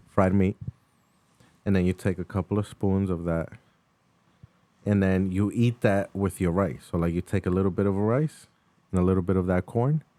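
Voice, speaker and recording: With an American accent, a man's very deep, low voice has a dark, mellow tone, very even loudness, ordinary pitch variation and a moderate pace broken by long, frequent pauses, all in a dry, close sound with no echo. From New York. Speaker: podcast co-host. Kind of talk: casual chat. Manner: animated.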